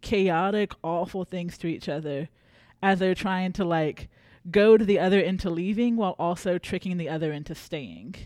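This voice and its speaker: A woman with an American accent and an ordinary speaking voice, at a moderate pace with ordinary pitch variation, over a quiet background. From South Carolina. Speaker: librarian, podcast co-host. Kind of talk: casual book discussion.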